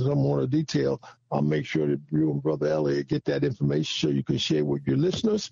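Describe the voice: A man with a dark, mellow tone, a slightly husky edge and vocal fry talks at a moderate pace with lively intonation.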